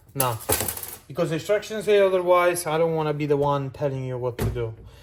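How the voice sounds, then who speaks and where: With a non-native accent, a man speaks at a fairly high pitch with ordinary pitch variation against noticeable background noise. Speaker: car enthusiast. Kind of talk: casual talk to camera. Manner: hesitant, many fillers.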